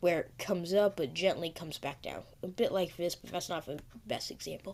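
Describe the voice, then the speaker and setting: A woman's fairly quick speech with vocal fry and big swings in loudness. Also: fairly low pitch for a woman, ordinary pitch variation. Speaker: silver investing youtuber. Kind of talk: casual market commentary video. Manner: hesitant, many fillers.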